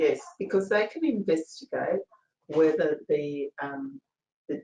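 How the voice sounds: A woman speaks at a very slow pace, with a dry, close sound and no echo.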